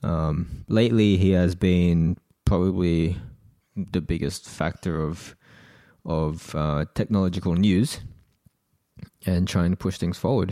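A man's very deep, low voice with an Australian accent, dark and mellow in tone, fairly slow with long, frequent pauses and fairly even intonation. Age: 20s. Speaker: tech podcast co-host. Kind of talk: casual chat.

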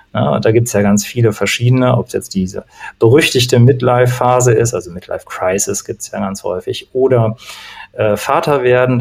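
A man speaks in a medium pitch. Noticeable background noise can be heard behind his voice. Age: 40s. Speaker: coach, former opera singer. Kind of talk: casual chat.

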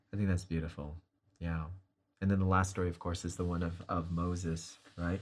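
On a very clean recording with a silent background, a man talks at a fairly quick pace in a very deep, low pitch with monotone, flat intonation. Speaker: Bible study host. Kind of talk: Bible study discussion.

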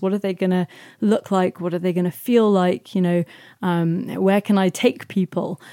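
A woman with a London accent speaks at medium pitch in a dark, mellow tone. The recording is very clean, silent in the background, and dry and close with no echo. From South London. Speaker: singer-songwriter and artist. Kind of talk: interview. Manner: halting, many fillers.

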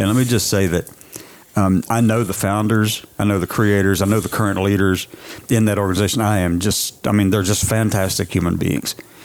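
Over noticeable background noise, a man with a fairly low pitch speaks at a fairly quick pace, with fairly even intonation and very even loudness.

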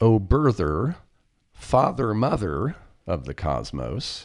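Recorded very cleanly against a silent background, a man with an American accent speaks very slowly, his vocal fry set against very wide pitch swings. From US Midwest, Kansas. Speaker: podcast co-host. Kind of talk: casual chat.

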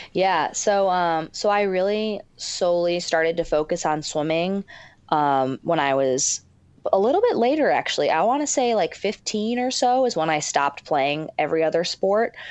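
A woman with an ordinary speaking voice, medium in pitch, lively in intonation, at a moderate pace and very even loudness. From Michigan. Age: 20s. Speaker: professional swimmer. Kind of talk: casual interview.

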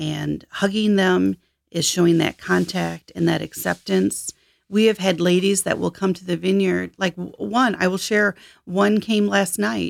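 The sound is dry and close, with no echo. A woman talks in an American accent. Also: very clean recording, silent background. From Michigan, US. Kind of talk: interview about faith and life story.

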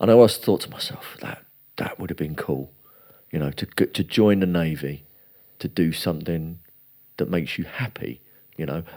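A man's very deep, low voice with vocal fry and a dark, mellow tone, at a moderate pace with ordinary pitch variation and long, frequent pauses. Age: 40s. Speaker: jiu-jitsu academy owner. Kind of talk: casual chat.

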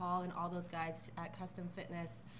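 Noticeable background noise and audible room echo both come through in this recording. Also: woman. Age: 30s. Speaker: physical therapist and strength coach. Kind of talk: casual chat.

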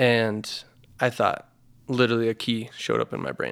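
Delivered at a fairly quick clip with an American accent, the speech stays flat and monotone. The recording is very clean, with a silent background. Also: man. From Idaho, US. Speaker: physical therapy business owner. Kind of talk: casual interview chat.

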